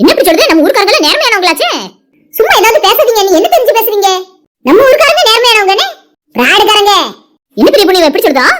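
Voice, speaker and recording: A cartoonish character voice at an extremely high pitch and a fairly quick pace. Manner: loud, quarrelsome.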